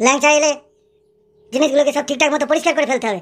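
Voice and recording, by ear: Cartoonish and high in pitch, this character voice rattles along at a very fast pace.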